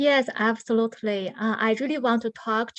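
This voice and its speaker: Against a quiet background, a woman with a non-native accent speaks with fairly even intonation. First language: not English. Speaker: artist, grant recipient. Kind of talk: panel discussion.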